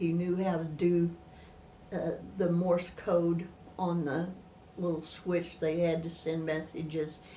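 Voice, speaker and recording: A woman with an American accent, very slow and flat in a monotone, with long, frequent pauses, audible room echo and noticeable background noise. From northern Missouri, US Midwest. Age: 80s+. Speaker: retired teacher, oral history interviewee. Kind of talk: oral history interview. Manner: halting.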